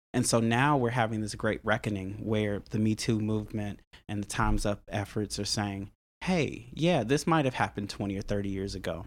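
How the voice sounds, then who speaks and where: A fairly quick pace with ordinary pitch variation, on a very clean recording with a silent background. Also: man, fairly low pitch for a man. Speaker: musician and church member. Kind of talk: casual interview conversation. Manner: thoughtful, hesitant, repeats words.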